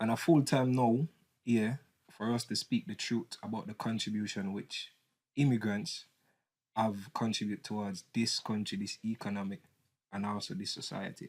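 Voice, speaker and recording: Here a man speaks with a Jamaican accent at a moderate pace. His pitch is medium, with ordinary variation. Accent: Jamaican English with patois. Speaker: political commentator. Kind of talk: casual debate. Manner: animated.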